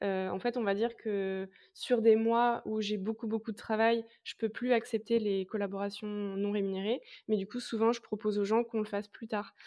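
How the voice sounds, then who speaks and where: Fairly slow, monotone, flat speech from a woman at medium pitch, dark and mellow in tone, against a quiet background. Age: 20s. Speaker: content creator. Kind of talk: interview. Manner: casual, hesitant with many fillers.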